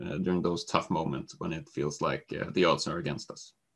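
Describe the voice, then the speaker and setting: A man speaks with lively intonation. It is an unremarkable speaking voice. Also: quiet background. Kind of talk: presentation. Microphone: video call.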